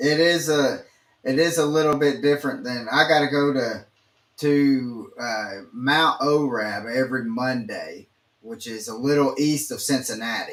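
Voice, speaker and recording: A man with a Southern accent speaks at a fairly slow pace and a fairly high pitch, with ordinary pitch variation. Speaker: podcast host. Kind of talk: podcast interview.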